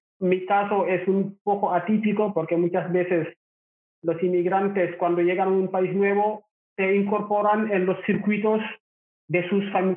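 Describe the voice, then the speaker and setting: The speech is monotone and flat, delivered at a fairly slow pace with very even loudness. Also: man. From Senegal, Rufisque near Dakar. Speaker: migrant entrepreneur. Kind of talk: interview.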